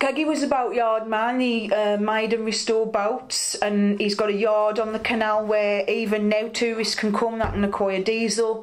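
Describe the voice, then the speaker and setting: Against noticeable background noise, a woman talks in a flat monotone at a moderate pace with hardly any pauses. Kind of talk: oral history interview answer.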